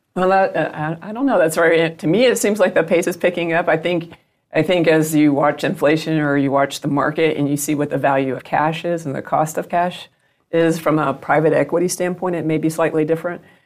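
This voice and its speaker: A woman with a Southern US accent and a fairly low pitch is heard in a very clean recording with a silent background. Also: ordinary pitch variation, fairly quick pace. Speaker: business executive guest. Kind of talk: interview.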